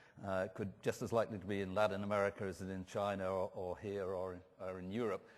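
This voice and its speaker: This is a man speaking with an English accent. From England. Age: 60s. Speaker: professor of food marketing. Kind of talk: conference talk. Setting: stage with audience. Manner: animated.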